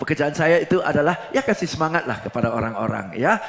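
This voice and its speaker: Noticeable background noise accompanies a man whose pitch shifts by an ordinary amount. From Singapore. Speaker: preacher and motivational trainer. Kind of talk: sermon in corporate training style. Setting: church. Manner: mixes English and Indonesian.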